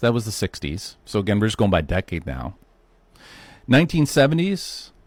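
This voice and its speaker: On a very clean recording with a silent background and a dry, close sound with no echo, a man with vocal fry speaks at a fairly low pitch and moderate pace, using very wide pitch swings and long, frequent pauses. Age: 50s. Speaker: health podcast host. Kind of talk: solo podcast monologue. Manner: casual conversational.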